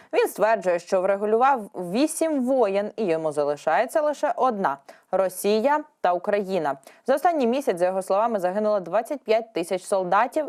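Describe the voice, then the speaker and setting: A woman speaks at a fairly high pitch and a moderate pace. Her pitch swings very widely while her loudness stays very even. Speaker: news presenter. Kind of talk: news reading.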